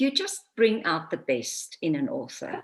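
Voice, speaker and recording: A woman's fairly high voice with a bright, sharp tone and a South African accent. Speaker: author and voice coach. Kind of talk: interview.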